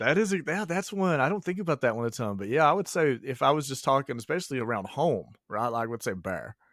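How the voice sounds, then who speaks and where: A man's fairly high voice at a very fast pace, with very wide pitch swings and hardly any pauses. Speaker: English teacher, podcast co-host. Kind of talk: casual chat.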